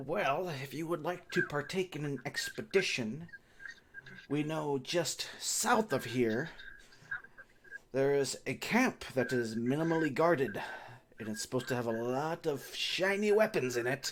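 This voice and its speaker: A fairly high-pitched man at a moderate pace in a put-on character voice. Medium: actual play. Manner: blustering, threatening.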